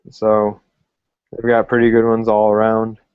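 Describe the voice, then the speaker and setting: The man's pitch sits fairly low. He keeps a moderate pace. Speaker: sports podcast host. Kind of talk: casual sports analysis talk.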